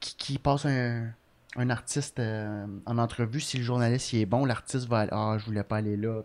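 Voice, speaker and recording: With monotone, flat intonation, a man talks at a moderate pace and a medium pitch. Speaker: comedian. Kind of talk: casual chat.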